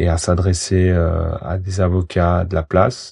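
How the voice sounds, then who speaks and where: The man's voice has a very deep, low pitch and a dark, mellow tone. It is somewhat breathy, recorded dry and close with no echo. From Switzerland, Valais. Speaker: lawyer, former professional footballer. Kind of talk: interview. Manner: halting, many repetitions.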